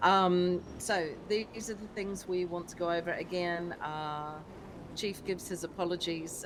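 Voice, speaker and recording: In a New Zealand accent, a woman with a fairly low pitch talks at a moderate pace with ordinary pitch variation, and audible room echo surrounds her. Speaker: streamer playing a police sergeant in a roleplay game. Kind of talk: roleplay briefing to a police team. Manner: hesitant, many fillers.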